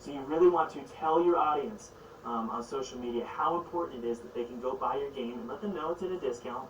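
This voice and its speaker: Very fast speech from a man with a fairly high pitch, set against noticeable background noise. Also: ordinary pitch variation, big swings in loudness. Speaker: game development YouTuber. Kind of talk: tutorial.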